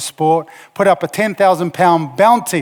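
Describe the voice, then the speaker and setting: With a New Zealand accent, a man talks at a high pitch with ordinary pitch variation. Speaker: motivational speaker, former rugby player. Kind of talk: conference talk. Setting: stage with audience.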